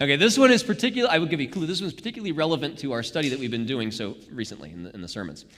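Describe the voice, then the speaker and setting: Using vocal fry and hardly any pauses, a man speaks at a very fast pace and a fairly high pitch with very wide pitch swings. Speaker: Bible study leader. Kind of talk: interactive Bible study. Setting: church live stream. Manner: halting.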